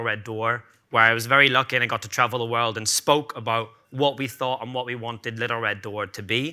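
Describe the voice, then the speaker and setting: Talking at a very fast pace with ordinary pitch variation, a man has a bright, sharp tone in a very clean recording over a silent background. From Ireland, Cork. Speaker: bartender and bar owner. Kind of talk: conference talk. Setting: stage with audience.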